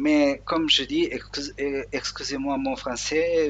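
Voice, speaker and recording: Speaking at a very slow pace, a man talks. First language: Portuguese (speaking French). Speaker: Linux software tutorial maker. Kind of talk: screen tutorial. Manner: halting, many hesitations.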